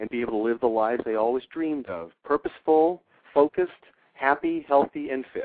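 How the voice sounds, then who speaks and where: This man has an ordinary speaking voice, pitched fairly high. He talks at a fairly quick pace with ordinary pitch variation. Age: 60s. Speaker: fitness trainer and author. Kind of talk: interview.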